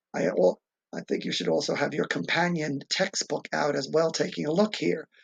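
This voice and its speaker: A man's voice with vocal fry, very wide pitch swings and a moderate pace. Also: fairly high pitch for a man. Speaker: teacher. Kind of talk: recorded class directions. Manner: casual, rambling asides.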